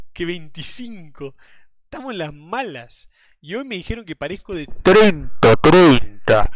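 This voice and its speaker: In a quiet, dry setting with no echo, a man speaks very slowly in a high voice that swings very widely in pitch. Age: 20s. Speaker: streamer. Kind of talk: casual live stream chat. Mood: amused, laughing. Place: home room.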